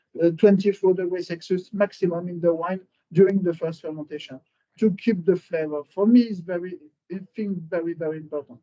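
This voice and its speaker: A man's high voice with a dark, mellow tone, fairly quick pace and fairly even intonation. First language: French. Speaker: winery cellar master. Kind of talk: interview about winemaking. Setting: at the winery. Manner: halting, many fillers.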